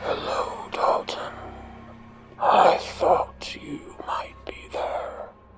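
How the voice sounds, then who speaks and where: A put-on character voice whispers, gravelly and hissing, at a very slow pace. Long pauses come often. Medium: read story. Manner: drawn-out vowels, sing-song, menacing.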